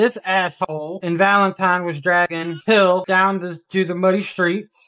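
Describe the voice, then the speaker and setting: A woman's bright, sharp voice at medium pitch. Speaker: roleplayer voicing a ranch owner in an online western game. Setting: online game voice chat.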